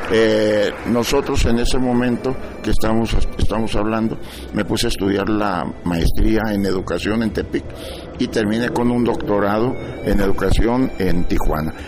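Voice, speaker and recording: Against noticeable background noise and audible room echo, a man speaks at a moderate pace with a fairly low pitch and fairly even intonation. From Mexico, Sinaloa. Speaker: chronicler and TV presenter. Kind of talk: interview.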